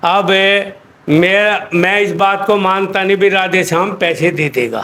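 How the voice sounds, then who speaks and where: A man talks at a high pitch with ordinary pitch variation and very even loudness. There is noticeable background noise. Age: 70s. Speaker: laborer, complainant elder. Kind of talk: interview testimony.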